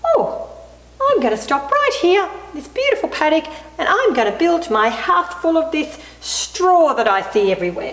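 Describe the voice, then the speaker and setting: Doing a put-on character voice at an extremely high pitch, a woman speaks at a moderate pace with a slight echo. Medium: read story.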